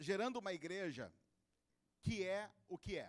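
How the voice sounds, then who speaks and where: Recorded with a dry, close sound and no echo, a man's voice varies in pitch in an ordinary way. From interior of São Paulo state, Brazil. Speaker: pastor. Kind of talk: sermon. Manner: informal and humorous.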